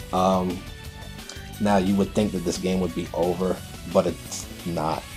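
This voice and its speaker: Over music in the background, a man talks in a very deep, low voice with monotone, flat intonation. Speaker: gaming commentator. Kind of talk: game commentary narration. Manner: casual, hesitant with fillers.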